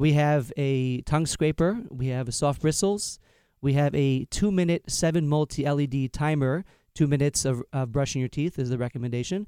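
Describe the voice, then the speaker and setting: On a very clean recording with a silent background and a dry, close sound without echo, a man with an American accent speaks at a moderate pace, his fairly high voice dark and mellow in tone with ordinary pitch variation. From Long Island, New York. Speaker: inventor and parent. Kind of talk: business pitch. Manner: halting with fillers.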